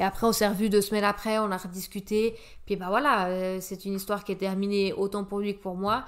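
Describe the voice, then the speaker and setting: A woman at medium pitch, monotone and flat in intonation, at a fairly quick pace. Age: 30s. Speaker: health professional. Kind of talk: casual chat.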